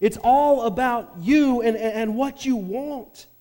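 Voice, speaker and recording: A man with a high pitch speaks in a dark, mellow tone at a fairly slow pace. Audible room echo surrounds the voice. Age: 40s. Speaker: pastor. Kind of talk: sermon.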